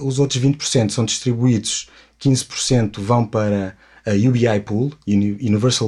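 A man speaks with a European Portuguese accent in a somewhat breathy voice. His intonation is fairly even, and the recording is very clean with a silent background. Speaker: cryptocurrency project ambassador. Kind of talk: interview. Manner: halting.

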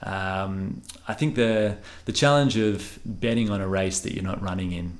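A speaker with an Australian accent talks at a fairly slow pace. Pitch varies in an ordinary way, and the room echo is audible. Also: man. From Western Australia (Bunbury, Perth). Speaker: engineer and restaurant founder. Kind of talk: interview conversation. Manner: considered, measured.

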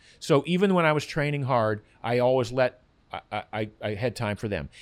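An unremarkable speaking voice from a man at medium pitch, with lively intonation, on a very clean recording with a silent background. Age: 60s. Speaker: health author and former endurance runner. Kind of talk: casual interview.

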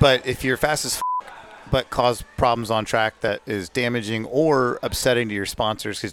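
A man uses an ordinary speaking voice, fairly quick in pace and ordinary in pitch variation. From Atlanta, US South. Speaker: podcast co-host, racing driver. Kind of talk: casual chat.

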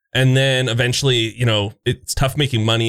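An unremarkable speaking voice with a Canadian accent moves at a fairly quick pace with ordinary pitch variation. The recording is very clean, with a silent background. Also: man. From eastern Canada. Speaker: gaming content creator. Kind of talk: casual chat.

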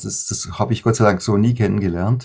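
In a dark, mellow, somewhat breathy tone, a man speaks at a moderate pace on a very clean recording with a silent background. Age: 50s. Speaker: worship musician and songwriter. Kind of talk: interview.

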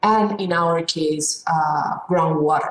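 With a Spanish accent, this voice moves along at a fairly slow pace. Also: woman. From Peru. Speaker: economics professor. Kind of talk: interview. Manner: halting, with repeated words.

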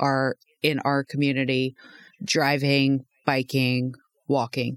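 A woman with a very deep, low pitch talks at a fairly slow pace. The recording is very clean, with a silent background and a dry, close sound with no echo. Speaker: podcast co-host and transportation planner. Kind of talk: casual professional discussion.

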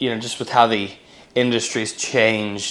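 A man speaks with an American accent. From western Pennsylvania, near Pittsburgh. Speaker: musician. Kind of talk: interview.

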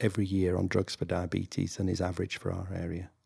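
A man with a northern English accent speaks in a very deep, low, somewhat breathy voice with monotone, flat intonation, captured in a very clean recording with a silent background. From northern England. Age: 60s. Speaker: general practitioner. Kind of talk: interview, conversational.

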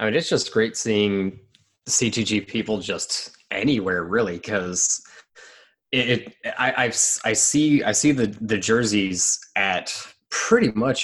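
An unremarkable speaking voice from a man, fairly low in pitch with ordinary variation, at a fairly slow pace. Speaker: obstacle racer. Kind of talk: casual chat.

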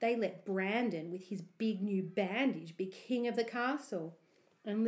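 The clip features a natural reading voice. It reads along in that manner.

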